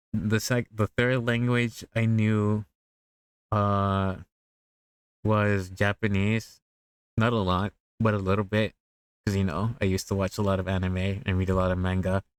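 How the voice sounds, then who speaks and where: Fairly slow and fairly low-pitched, a man talks in a monotone, flat intonation with very even loudness and long, frequent pauses, recorded dry and close with no echo on a very clean recording with a silent background. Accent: Spanish. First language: Spanish. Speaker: VTuber streamer. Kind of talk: casual chat. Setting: live stream.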